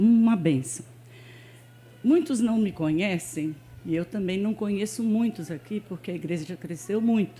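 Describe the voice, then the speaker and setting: A woman speaks at a medium pitch with a dark, mellow tone. Her pace is fairly slow, with long, frequent pauses. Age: 70s. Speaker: church member. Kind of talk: testimony. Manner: informal, with frequent fillers.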